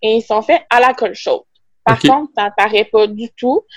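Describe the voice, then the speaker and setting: In a Quebec accent, a woman speaks at a fairly high pitch, recorded dry and close with no echo. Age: 20s. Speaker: veterinary technician and small business owner. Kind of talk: casual interview.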